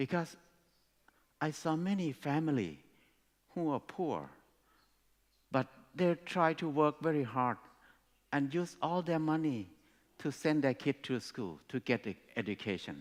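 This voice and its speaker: In a very clean recording with a silent background, a man with a Thai accent speaks at a fairly slow pace in a fairly high pitch, with ordinary pitch variation and long, frequent pauses. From Thailand. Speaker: speaker at education conference. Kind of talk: talk to an audience.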